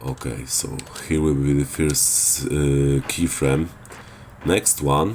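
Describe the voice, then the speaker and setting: A very slow pace with ordinary pitch variation, over noticeable background noise. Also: man, very deep, low pitch for a man. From Poland. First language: Polish. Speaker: gaming video creator. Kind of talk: tutorial. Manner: hesitant, many filler sounds.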